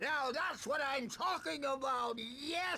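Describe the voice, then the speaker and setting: High in pitch and fairly slow, a put-on character voice comes through over light background noise. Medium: video game. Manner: cheerful, rambling.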